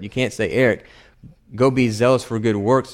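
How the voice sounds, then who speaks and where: A man talks in an ordinary speaking voice, pitched at a medium level. His pace is fairly quick and his intonation fairly even. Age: 30s. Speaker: preacher. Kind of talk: sermon.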